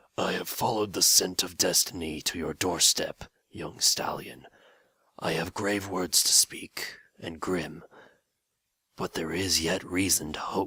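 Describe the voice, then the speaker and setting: A raspy, put-on character voice moves at a fairly slow pace. Long, frequent pauses break up the speech. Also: man, very deep, low pitch for a man. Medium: read story. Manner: grave, solemn.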